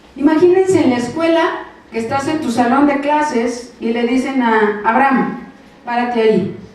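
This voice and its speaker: A woman's high voice at a moderate pace, with noticeable background noise and audible room echo. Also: long, frequent pauses. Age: 60s. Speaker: preacher. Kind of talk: sermon.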